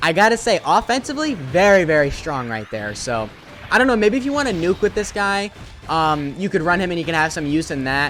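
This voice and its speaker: Music plays in the background as the words come at a fairly quick pace. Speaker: mobile game YouTuber. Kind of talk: gameplay commentary. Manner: slurring words; casual, many filler words.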